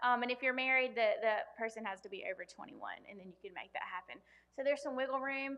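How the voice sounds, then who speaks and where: A woman in a Southern US accent talks at a very fast pace and a high pitch, with ordinary pitch variation and big swings in loudness. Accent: US South. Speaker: loan officer. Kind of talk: workshop presentation. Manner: many filler ums.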